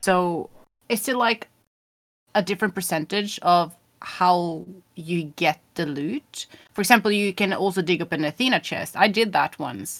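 A woman speaks at a fairly slow pace with ordinary pitch variation, an unremarkable speaking voice. The sound is dry and close, with no echo. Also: medium pitch for a woman. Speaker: game streamer. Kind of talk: casual interview chat.

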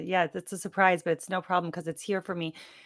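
Talking at a very fast pace, a woman speaks with an American accent. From US Midwest. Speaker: transformation coach. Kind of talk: interview.

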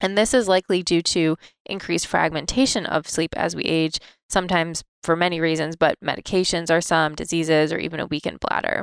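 A woman speaks in a normal speaking voice, fairly low in pitch and fairly quick. Her intonation is fairly even, and the sound is dry and close with no echo. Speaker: physician podcast host. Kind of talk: educational podcast.

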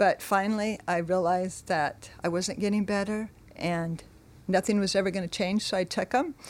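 A woman's medium-pitched voice with a Californian accent, at a moderate pace with fairly even intonation. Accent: Californian American. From California, Monterey. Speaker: church member sharing life story. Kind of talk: testimony.

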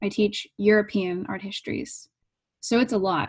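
A woman with a fairly high pitch sounds somewhat breathy, speaking at a fairly slow pace with ordinary pitch variation. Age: 30s. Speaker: artist and art professor. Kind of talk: interview conversation; reading aloud.

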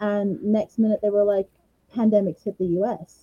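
The woman's tone is dark and mellow, somewhat breathy. The sound is dry and close, with no echo. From Australia, Brisbane, Queensland. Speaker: singer-songwriter. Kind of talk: interview.

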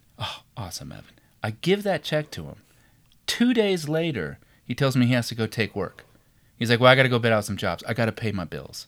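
In a very clean recording with a silent background, a man at medium pitch talks at a fairly quick pace with vocal fry, very wide pitch swings and big swings in loudness. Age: 40s. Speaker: podcast co-host. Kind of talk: casual chat. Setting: home studio.

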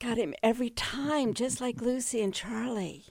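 An unremarkable speaking voice moves along at a moderate pace. The recording is very clean, with a silent background. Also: woman. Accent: American. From US, Northern Virginia. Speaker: retired museum executive. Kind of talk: interview. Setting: radio studio.

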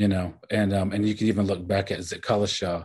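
A man's somewhat breathy, fairly low voice with an American accent, monotone and flat in intonation, at a moderate pace over a quiet background. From Oklahoma, Cherokee and Kiowa communities. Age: 40s. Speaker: novelist. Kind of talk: interview.

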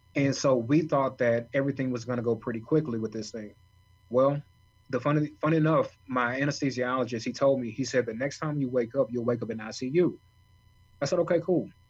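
A somewhat breathy man speaks at a fairly quick pace with a medium pitch and fairly even intonation. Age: 30s. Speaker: author and kidney transplant recipient. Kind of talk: interview storytelling.

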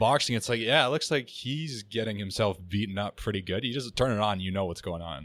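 Fairly quick and fairly low-pitched, a man with a Canadian accent and a plain, everyday voice speaks with lively intonation. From Canada. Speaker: podcast guest. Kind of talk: casual chat. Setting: studio.

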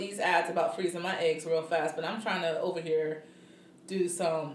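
There is audible room echo and noticeable background noise. Through it, a woman talks at a moderate pace. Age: 30s. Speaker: podcast co-host. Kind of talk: casual chat.

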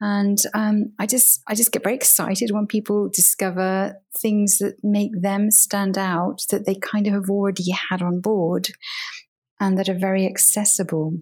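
A woman with a British accent, medium pitch and monotone, flat intonation, at a moderate pace with very even loudness, music in the background. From UK. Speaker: communications professional and coach. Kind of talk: interview.

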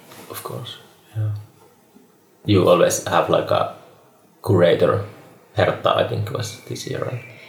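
A man with a Finnish accent speaks at a fairly slow pace, with long, frequent pauses and big swings in loudness. Noticeable background noise runs under his voice. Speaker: podcast host. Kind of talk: casual chat.

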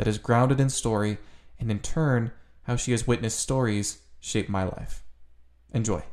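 A man's plain, everyday voice at a medium pitch, moderate in pace, with fairly even intonation. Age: young. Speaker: youth advisory member, podcast intro voice. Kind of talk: scripted narration.

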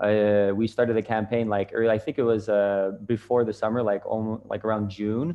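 A man with a fairly low pitch and a normal speaking voice talks at a moderate pace with fairly even intonation. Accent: Canadian. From Canada. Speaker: social media marketer. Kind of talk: casual interview.

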